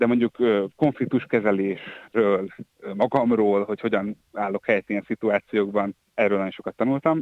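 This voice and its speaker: A man with a normal speaking voice talks at a moderate pace. His pitch is fairly low, and his intonation fairly even. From Hungary, Győr. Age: 30s. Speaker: journalist, former editor-in-chief. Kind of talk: interview. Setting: phone call.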